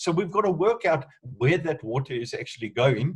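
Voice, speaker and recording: A man speaks with a somewhat breathy voice. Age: 60s. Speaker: entrepreneur. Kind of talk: online group discussion.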